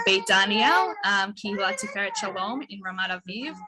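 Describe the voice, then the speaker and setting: Speaking fairly slowly in an American accent, a woman has medium pitch and an ordinary speaking voice. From New Jersey, Bergen County. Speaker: rabbi. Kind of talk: personal reflection on video call.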